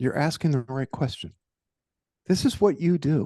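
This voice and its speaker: A man with a New York accent talks at a moderate pace in a dark, mellow tone with lively intonation, the sound dry and close with no echo. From New York, Brooklyn. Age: 60s. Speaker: executive coach and author. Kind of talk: interview. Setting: studio.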